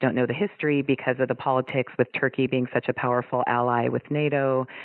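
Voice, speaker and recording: Very fast speech in an American accent. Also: woman. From US West Coast. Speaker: wrestler's daughter. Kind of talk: interview.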